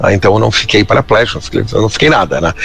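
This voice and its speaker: A man speaks with music playing in the background. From southern Brazil, Pelotas (Rio Grande do Sul). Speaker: literary consultant and businessman. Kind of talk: interview. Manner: halting, many fillers.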